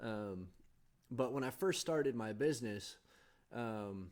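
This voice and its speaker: A man speaks at a medium pitch with a Californian accent and ordinary pitch variation, recorded very cleanly against a silent background. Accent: General American (Californian). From Southern California. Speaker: podcast host. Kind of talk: casual monologue. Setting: home video setup with green screen. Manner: halting, many fillers and repeats.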